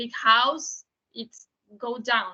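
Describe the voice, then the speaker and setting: A woman with a high pitch and a Portuguese accent. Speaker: documentary filmmaker. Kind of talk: panel Q&A. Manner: halting.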